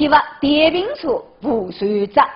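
The speech comes at a very slow pace in a Zhejiang accent. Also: woman. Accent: Taizhou Wu dialect. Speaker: news show co-host.

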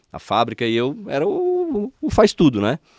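The recording is dry, with no echo, and the background is quiet. The speaker is a man. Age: 40s. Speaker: spiritual healer; podcast guest. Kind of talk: interview. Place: studio. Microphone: studio mic.

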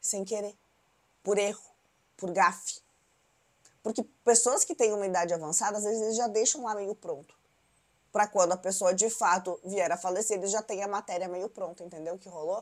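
A woman's animated voice at a moderate pace, with big swings in loudness, long, frequent pauses and a quiet background. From Brazil. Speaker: celebrity gossip YouTuber. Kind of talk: news recap monologue. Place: home room. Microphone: lapel.

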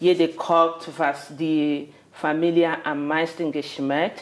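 This woman has a fairly low pitch. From Nigeria. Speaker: migrant guest; interviewee. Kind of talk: casual interview. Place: kitchen.

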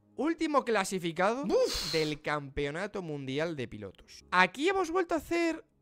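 Faint music plays behind a man who speaks in an animated tone at a fairly slow pace. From Spain. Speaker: F1 streamer and YouTuber; F1 streamer, YouTuber. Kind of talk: casual reaction livestream. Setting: live stream. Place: home room. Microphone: studio mic.

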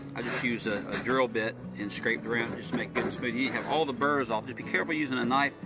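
Over loud background music, a man talks at a very fast pace with ordinary pitch variation in a dry sound with no echo. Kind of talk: tutorial. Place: garden. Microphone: phone near.

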